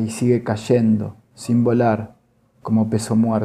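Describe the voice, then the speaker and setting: A man speaks at a fairly slow pace and medium pitch, with monotone, flat intonation. His tone is solemn, with music in the background. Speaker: poetry reader, workshop participant. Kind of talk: poetry reading aloud, measured literary delivery. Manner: slow, deliberate, solemn, pausing between poems.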